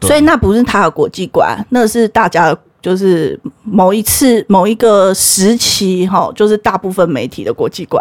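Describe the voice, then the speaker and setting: A woman speaks at a moderate pace, her pitch medium and her intonation lively. The sound is dry and close, with no echo. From Taiwan. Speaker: history teacher. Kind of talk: casual chat. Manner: animated.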